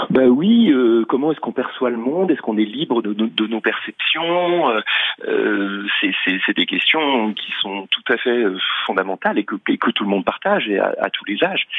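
Against noticeable background noise, a man speaks at a moderate pace. His medium pitch swings very widely. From Paris suburbs, France. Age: 50s. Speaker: magician. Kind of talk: radio interview. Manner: halting, many repetitions.

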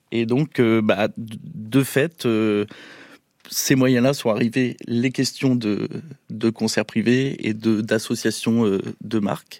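On a very clean recording with a silent background, a man speaks at a very slow pace with fairly even intonation and very even loudness. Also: medium pitch for a man. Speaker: music agency co-founder.

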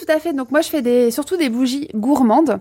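Her tone is dark and mellow. This woman uses ordinary pitch variation. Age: 30s. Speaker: candle maker. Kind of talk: radio interview.

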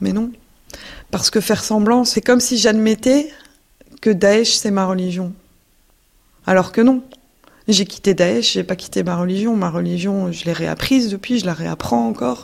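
A woman's fairly slow, lively-toned speech with long, frequent pauses. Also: medium pitch for a woman. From Belgium. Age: 20s. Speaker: former ISIS member, returnee. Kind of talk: testimony. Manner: halting.

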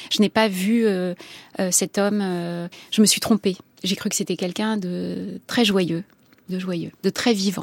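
Very slow and monotone, a woman at medium pitch leaves long, frequent pauses, the sound dry and close with no echo. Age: 50s. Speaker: novelist and journalist. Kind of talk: interview. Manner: halting.

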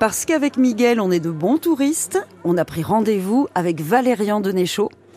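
Against noticeable background noise, a woman speaks at a fairly slow pace, her pitch swinging very widely. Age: 40s. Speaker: radio reporter. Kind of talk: radio documentary narration and street interviews. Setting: outdoor market.

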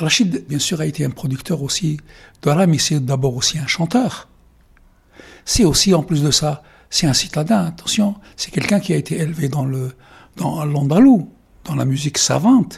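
Fairly high male voice with normal pitch movement, a moderate speed, and long, frequent pauses. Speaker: journalist. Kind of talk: interview.

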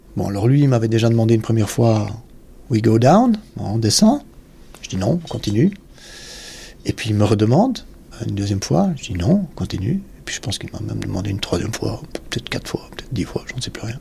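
A man with a medium pitch speaks at a fairly quick pace with lively intonation. Long pauses come often. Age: 50s. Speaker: retired soldier. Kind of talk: testimony. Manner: halting.

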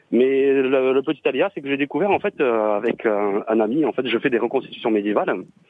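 The speaker goes at a fairly quick pace with hardly any pauses, very even loudness and ordinary pitch variation. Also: man, medium pitch for a man. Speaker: caller. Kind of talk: casual chat. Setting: phone call. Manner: hesitant.

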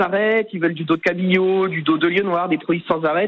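A man's high-pitched voice moves at a fairly quick pace. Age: 30s. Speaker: fishmonger. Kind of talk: radio interview.

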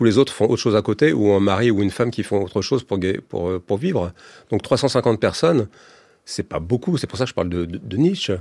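A man's fairly low voice with lively intonation at a fairly quick pace, on a very clean recording with a silent background. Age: 50s. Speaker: comics author and illustrator. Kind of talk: radio interview. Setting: radio studio. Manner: halting, many repetitions.

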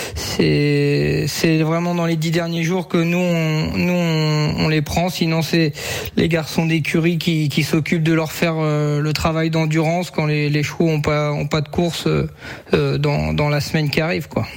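A man with a fairly high pitch speaks at a very slow pace in a monotone, flat way, with very even loudness and hardly any pauses. Noticeable background noise and audible room echo fill the recording. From France, Sarthe. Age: 20s. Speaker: harness racing driver and jockey. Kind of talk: radio interview. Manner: hesitant, many fillers.

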